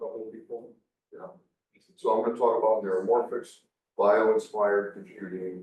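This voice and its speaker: A man speaks with long, frequent pauses and big swings in loudness. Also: moderate pace. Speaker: defense research engineer. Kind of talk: conference talk.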